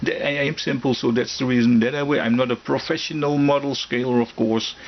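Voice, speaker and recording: A man's medium-pitched voice in a non-native accent, fairly quick, with fairly even intonation and very even loudness, over noticeable background noise. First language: German. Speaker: scale model hobbyist YouTuber. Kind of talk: casual product review. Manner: halting, many fillers and restarts.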